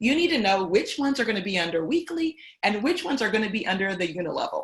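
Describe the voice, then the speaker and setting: Talking at a very fast pace, a woman with a somewhat breathy, fairly high voice makes very wide pitch swings. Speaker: company CEO and trainer. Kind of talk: training call tutorial.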